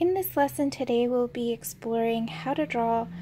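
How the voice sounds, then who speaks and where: Soft-spoken, a woman talks at a moderate pace with lively intonation on a very clean recording with a silent background. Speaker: artist and art tutor. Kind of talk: art tutorial instruction. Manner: mellow, soft-spoken.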